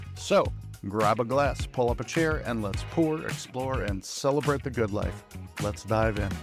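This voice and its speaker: With music in the background, a man speaks at a fairly slow pace in a medium-pitched voice with lively intonation. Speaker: podcast host. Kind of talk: podcast intro.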